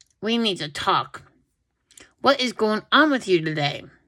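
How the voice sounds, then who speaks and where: Doing a gruff, put-on character voice, a woman speaks at a moderate pace with fairly high pitch and very wide pitch swings. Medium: read story. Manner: stern.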